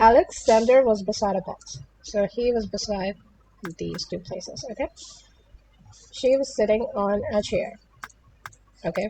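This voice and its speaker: A woman with a non-native accent speaks at a fairly slow pace, with long, frequent pauses. Her voice is fairly high and has a dark, mellow tone, and her intonation is lively. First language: not English. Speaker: puzzle game youtuber. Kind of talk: gameplay tutorial. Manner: hesitant, many fillers.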